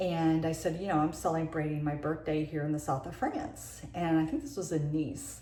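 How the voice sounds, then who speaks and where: Noticeable background noise sits behind a woman speaking at a very deep, low pitch in a monotone, flat intonation. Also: moderate pace, hardly any pauses. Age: 60s. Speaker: beauty vlogger. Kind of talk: casual tutorial monologue. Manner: halting.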